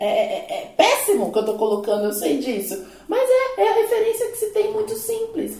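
A woman speaks at a moderate pace. Audible room echo and noticeable background noise fill the recording. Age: 30s. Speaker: psychologist and career coach. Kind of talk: casual panel discussion.

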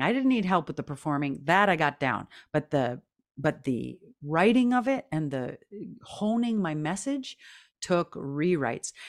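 A woman with a fairly low pitch speaks at a moderate pace, her voice moving in very wide pitch swings. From Canada, Métis. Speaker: singer-songwriter, actor and speaker. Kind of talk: interview. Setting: video call.

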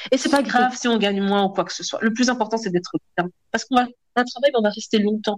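A woman talks at a very fast clip in a fairly high voice, somewhat breathy. Her pitch rises and falls in an ordinary way. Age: 30s. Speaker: public administration employee. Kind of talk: interview testimony.

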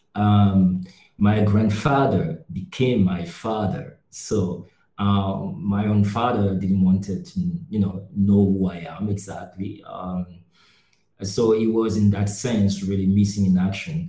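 Very slowly, a man speaks in a somewhat breathy, dark, mellow voice with ordinary pitch variation and audible room echo. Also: fairly low pitch for a man. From Cameroon. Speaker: NGO worker, podcast co-host. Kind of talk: casual discussion.

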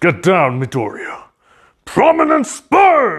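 A man speaks in a put-on character voice. His pace is fairly slow. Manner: commanding, shouted order.

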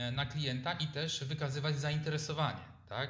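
A man with a fairly high pitch speaks, with audible echo from the room. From Poland, Lower Silesia (Lubań). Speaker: entrepreneur and economist. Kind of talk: interview. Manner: halting.

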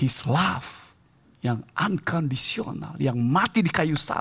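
A man is speaking. His pace is very slow. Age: 60s. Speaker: preacher. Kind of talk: sermon.

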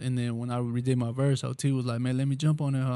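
A man talks at a very fast pace. His tone is dark and mellow, his intonation monotone and flat. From Texas Gulf Coast. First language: Spanish. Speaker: rapper. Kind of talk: casual interview. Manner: laid-back, slangy.

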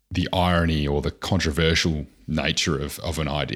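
Vocal fry runs through this fairly slow delivery, captured in a very clean recording with a silent background. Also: man. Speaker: podcast host.

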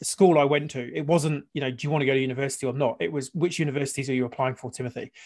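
Speaking at a very fast pace with hardly any pauses, a man keeps a fairly high pitch and fairly even intonation. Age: 40s. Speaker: podcast host. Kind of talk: casual interview chat. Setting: video call.

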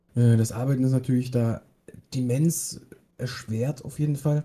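A man's somewhat breathy voice with a dark, mellow tone and monotone, flat intonation. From Bavaria, Germany. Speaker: podcast co-host, apprentice. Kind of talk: casual chat.

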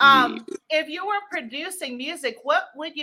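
A woman with an American accent, high-pitched and raised and projected, in a bright, sharp, animated, upbeat tone with lively intonation at a fairly slow pace. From DMV area, US. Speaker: talk show host. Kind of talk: interview, casual chat. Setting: live stream.

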